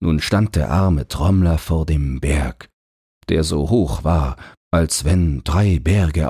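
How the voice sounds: This man's pitch is extremely low, with a slightly mellow tone and a husky, rough edge. He speaks at a slow pace with lively intonation.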